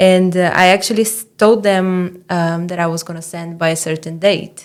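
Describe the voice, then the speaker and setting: A woman with a Portuguese accent speaks in a fairly low, monotone, flat voice with big swings in loudness. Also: moderate pace. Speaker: doctoral student and writing mentor. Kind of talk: podcast interview. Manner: hesitant, with fillers and restarts.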